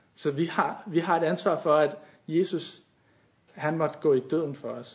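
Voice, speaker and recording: The man's voice is somewhat breathy and fairly high. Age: 20s. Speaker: youth leader and lay preacher. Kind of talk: sermon. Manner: halting.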